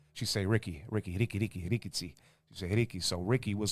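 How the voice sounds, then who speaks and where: An animated man with an American accent and fairly low pitch, talking at a very fast pace on a very clean recording with a silent background. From St. Louis, Missouri (South City). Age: 30s. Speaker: hip-hop artist. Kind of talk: casual interview chat.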